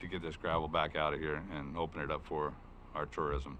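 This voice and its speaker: A man's bright, sharp voice with an American accent, in audible room echo. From southern Oregon coast, US. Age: 60s. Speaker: county sheriff. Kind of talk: public meeting testimony. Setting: county board meeting room. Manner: casual, many fillers.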